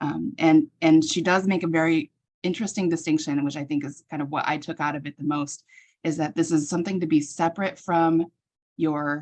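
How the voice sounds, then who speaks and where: A woman talks at a fairly quick pace with fairly even intonation. Her pitch is very deep and low, and the background is quiet. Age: 40s. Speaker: healthcare professional. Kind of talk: casual conversation.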